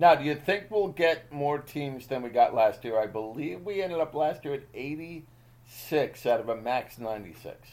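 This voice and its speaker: With an American accent, a man talks at a fairly slow pace in a fairly high pitch, hardly pausing at all. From Boston area, US. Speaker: podcast host, amateur golfer. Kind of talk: casual chat. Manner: animated.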